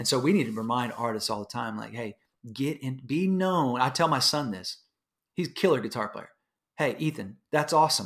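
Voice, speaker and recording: A man at medium pitch with lively intonation and a moderate pace. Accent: Texan. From Houston, Texas. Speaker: musician and pastor. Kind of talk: casual interview chat. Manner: animated.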